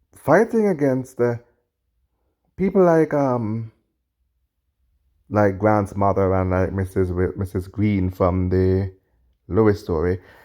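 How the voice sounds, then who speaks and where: A man with a Jamaican accent speaks very slowly, with long, frequent pauses, in a fairly low pitch with ordinary pitch variation. His tone is dark and mellow, and the recording is very clean with a silent background. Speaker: podcast host, video commentator. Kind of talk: reaction commentary. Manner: halting, self-correcting.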